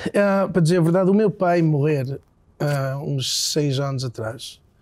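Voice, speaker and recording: A man's fairly high pitch and dark, mellow tone at a fairly slow pace. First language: English (speaking Portuguese). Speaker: singer-songwriter. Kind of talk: interview. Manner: halting.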